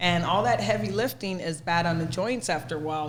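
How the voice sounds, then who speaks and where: With an animated tone and very wide pitch swings, a woman with a fairly low pitch talks at a moderate pace amid audible room echo. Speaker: fitness trainer. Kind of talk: casual podcast chat.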